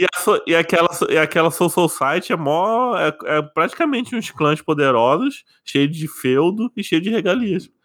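With hardly any pauses, a man with a high pitch speaks at a fairly slow pace and with lively intonation, on a very clean recording with a silent background. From Brazil, interior. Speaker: podcast host. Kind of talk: casual chat.

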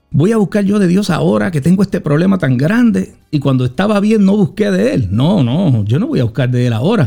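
Over music in the background, a fairly high-pitched man talks at a fairly quick pace with hardly any pauses, very even loudness and very wide pitch swings. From Puerto Rico, Juana Díaz. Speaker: apostle, former police officer. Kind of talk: testimony.

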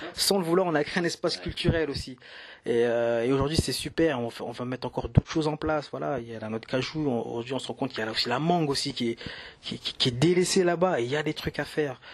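Fairly high in pitch, a man talks at a very fast pace with ordinary pitch variation. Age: 30s. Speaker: entrepreneur, business partner. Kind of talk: casual conversation. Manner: halting, frequent hesitations.

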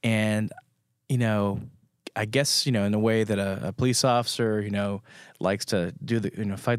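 This man has an ordinary speaking voice, fairly low in pitch with fairly even intonation, at a moderate pace in a very clean recording with a silent background. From France, moved to the US at age five. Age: 40s. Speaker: photographer. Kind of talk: interview.

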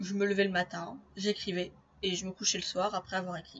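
A woman's voice, delivered at a fairly slow pace. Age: 20s. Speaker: podcaster and aspiring novelist. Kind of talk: solo podcast monologue.

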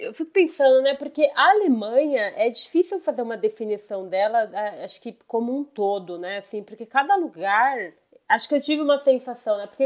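A woman is speaking. Her intonation is lively. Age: 30s. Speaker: IT worker, traveler. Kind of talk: casual chat.

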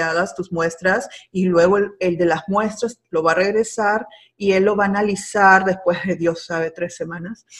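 A woman is talking at a moderate pace. Her pitch sits in the middle range. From Peru. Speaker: agricultural extension agent. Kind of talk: interview. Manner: halting.

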